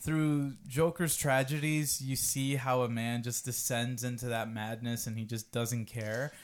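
A man's normal speaking voice at medium pitch, with fairly even intonation, a fairly slow pace and hardly any pauses. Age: 20s. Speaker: podcast host. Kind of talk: casual chat.

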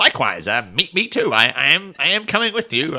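Light background noise sits behind a man doing a put-on character voice. He uses a high pitch and a fairly quick pace. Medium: actual play. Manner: earnest, a bit awkward.

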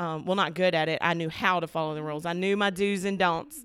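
Spoken at a fairly quick pace with an Alabama accent, this is a very clean recording with a silent background. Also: woman. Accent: Southern US (Alabama). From US South, Alabama. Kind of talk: casual faith conversation. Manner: animated.

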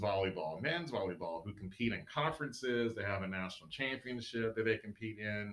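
Speaking at a moderate pace, a man uses a fairly low pitch, a bright, sharp tone and ordinary pitch variation. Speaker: university recreation staff member. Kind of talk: casual panel chat.

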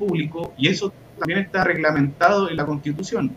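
Over noticeable background noise, a man speaks with a high pitch. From Chile, Hualpén (Biobío). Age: 30s. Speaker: history teacher and environmental activist. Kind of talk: online panel discussion.

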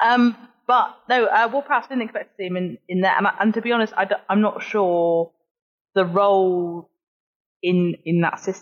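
A woman has an ordinary speaking voice at a medium pitch, talking at a moderate pace. Her intonation is lively. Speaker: podcast guest and Southampton football fan. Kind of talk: casual chat.

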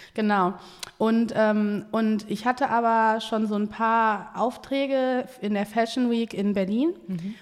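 Very slowly and with fairly even intonation, a woman speaks at a fairly high pitch. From Essen, Germany (born in Ghana, moved at age 4). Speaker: entrepreneur and agency founder. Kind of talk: casual interview chat.

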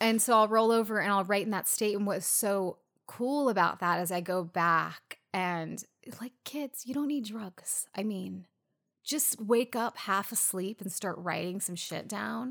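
In an American accent, a woman with an unremarkable speaking voice speaks at a medium pitch and a fairly slow pace, recorded very cleanly against a silent background. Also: ordinary pitch variation. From US West Coast. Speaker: podcast co-host. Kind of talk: casual chat.

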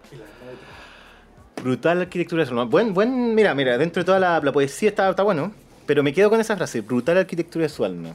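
A man with a Chilean accent, fairly quick, with big swings in loudness and very wide pitch swings. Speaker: film podcast host. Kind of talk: casual film discussion.

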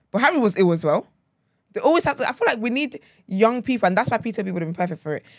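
With a London accent, a woman speaks in an energetic tone at a very fast pace, her fairly high pitch making very wide swings. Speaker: lead podcast host. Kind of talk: casual chat. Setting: studio. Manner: energetic, laughs often.

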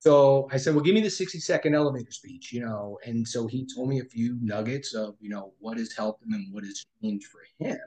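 This man has a dark, mellow tone that is somewhat breathy, with a fairly high pitch and an American accent. He talks at a fairly quick pace with lively intonation. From New York. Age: 50s. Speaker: financial planner. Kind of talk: interview.

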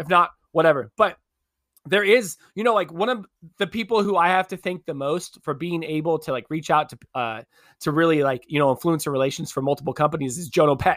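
A man with a plain, everyday voice, fairly high in pitch, talks at a fairly quick pace with ordinary pitch variation on a very clean recording with a silent background. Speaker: podcast host and Twitch streamer. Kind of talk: casual chat.

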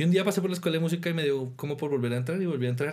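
The voice belongs to a man, dark and mellow in tone. Room echo is audible. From Colombia, Tolima and Boyacá. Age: 20s. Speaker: orchestra conductor and percussionist. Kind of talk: interview.

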